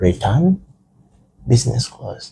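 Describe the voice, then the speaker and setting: This man's somewhat breathy voice has a dark, mellow tone and moves at a fairly slow pace. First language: Rukiga / Runyankore. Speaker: guest. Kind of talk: casual chat.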